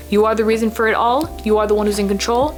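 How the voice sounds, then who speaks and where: A woman talks very fast, with background noise clearly noticeable behind her. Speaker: spiritual YouTuber, self-described psychic medium. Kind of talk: casual vlog talk to camera. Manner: animated.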